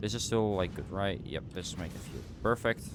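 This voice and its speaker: Fairly low in pitch, a man speaks with a Dutch accent. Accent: Dutch accent, noticeable today. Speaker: game streamer. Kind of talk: casual live-stream commentary while gaming.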